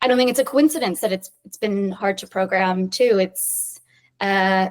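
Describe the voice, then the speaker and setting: An unremarkable speaking voice in an American accent, with lively intonation and big swings in loudness. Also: woman, medium pitch for a woman, moderate pace. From US, New York City. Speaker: film director. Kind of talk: interview.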